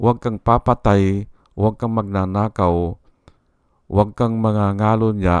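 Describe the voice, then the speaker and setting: Against a quiet background, a man talks in a fairly low, monotone voice, the sound dry and close with no echo. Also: fairly slow pace. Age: 60s. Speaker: vlogger. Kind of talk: political commentary vlog. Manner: halting.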